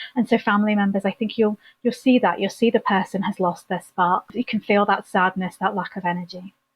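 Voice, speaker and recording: With an English accent, a woman speaks at a fairly quick pace in a somewhat breathy voice, with fairly even intonation and hardly any pauses. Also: medium pitch for a woman. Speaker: therapist, former nurse. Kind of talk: podcast interview.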